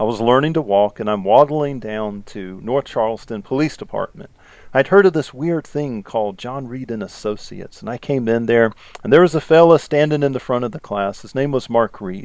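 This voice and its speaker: A medium-pitched man talks at a fairly quick pace. His intonation is lively and his loudness swings widely. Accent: Southern US. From US South, South Carolina. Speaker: podcast host, police interrogation instructor, former detective. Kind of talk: casual podcast chat. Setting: recorded podcast.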